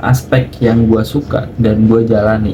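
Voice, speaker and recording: A man's medium-pitched voice with fairly even intonation at a moderate pace, over noticeable background noise. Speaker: vlogger, online taxi driver and student. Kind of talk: vlog narration. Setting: in a car. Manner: casual.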